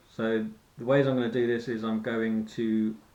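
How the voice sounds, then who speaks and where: With a British accent, a man talks at a moderate pace and a medium pitch. His intonation is fairly even, and room echo is audible. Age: 40s. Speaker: fitness vlogger. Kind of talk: personal vlog monologue. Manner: halting.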